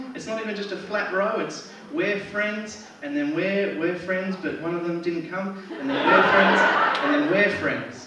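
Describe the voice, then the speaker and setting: A man with an Australian accent speaks at a fairly slow pace, with noticeable background noise and audible room echo. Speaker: stand-up comedian. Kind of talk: stand-up comedy set. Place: stage.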